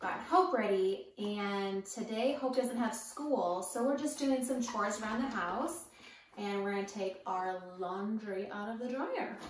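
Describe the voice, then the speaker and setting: A woman speaks at a fairly slow pace. Light background noise and audible room echo are present. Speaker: home vlogger. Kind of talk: casual vlog chat. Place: home room. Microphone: camera far.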